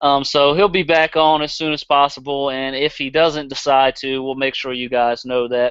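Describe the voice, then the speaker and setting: A man with a Southern US accent, fairly high pitch, fairly even intonation, moderate pace, and hardly any pauses. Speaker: podcast host. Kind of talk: casual chat. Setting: live stream.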